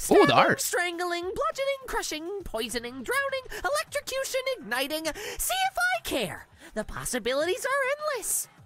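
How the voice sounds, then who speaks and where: In a put-on character voice with extremely high pitch, the speaker swings very widely in pitch and hardly pauses. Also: moderate pace. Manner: taunting, sadistic.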